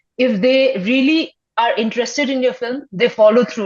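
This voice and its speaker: Her intonation fairly even, a woman speaks with a Nepali accent. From Sikkim, India. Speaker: filmmaker. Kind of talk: interview. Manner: halting, many fillers.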